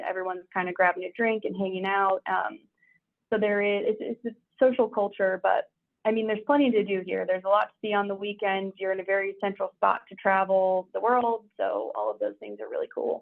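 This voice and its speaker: A woman talks at a fairly quick pace. She has an American accent. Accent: American, noticed in London. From US Midwest, St. Louis, Missouri. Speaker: insurance broker. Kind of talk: webinar Q&A answer.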